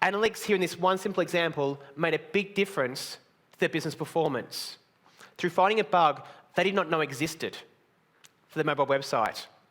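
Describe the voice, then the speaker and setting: A man with an Australian accent, high pitch, very even loudness, ordinary pitch variation, and a fairly quick pace broken by long, frequent pauses. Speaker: conference speaker. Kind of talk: conference talk. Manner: blunt.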